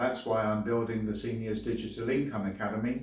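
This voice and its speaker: A man with an English accent speaks amid audible room echo. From England. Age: 60s. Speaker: YouTuber and former English teacher. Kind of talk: sales pitch.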